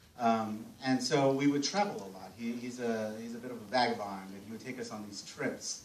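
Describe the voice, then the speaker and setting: A man talks with an American accent at a moderate pace, his intonation lively. Noticeable background noise and audible room echo fill the recording. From US, Mexican American family. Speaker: film festival panel moderator. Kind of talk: live panel talk with anecdote. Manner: halting, many fillers and restarts.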